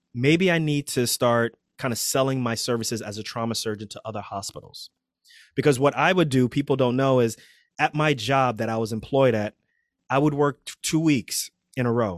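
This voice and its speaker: An unremarkable speaking voice from a man, medium in pitch with ordinary variation, at a moderate pace, in a very clean recording with a silent background and a dry, close sound with no echo. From New York City (Queens). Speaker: trauma surgeon and physician coach. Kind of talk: casual interview.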